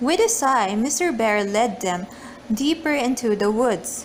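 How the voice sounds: With lively intonation and a fairly slow pace, this voice carries audible room echo. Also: woman, fairly high pitch for a woman.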